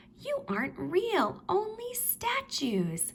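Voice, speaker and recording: Through clear background noise, a woman puts on a squeaky character voice at an extremely high pitch and a very slow pace. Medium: read story.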